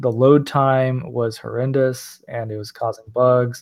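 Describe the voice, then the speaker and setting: At a fairly slow pace, a man talks in a plain, everyday voice with a medium pitch. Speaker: podcast co-host and developer. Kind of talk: casual chat.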